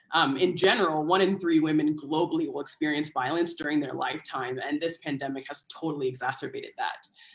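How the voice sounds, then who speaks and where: The speaker has an American accent and talks at a fairly quick pace with fairly even intonation. Noticeable background noise is present. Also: woman. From United States. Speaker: public health partnerships coordinator. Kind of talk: panel talk.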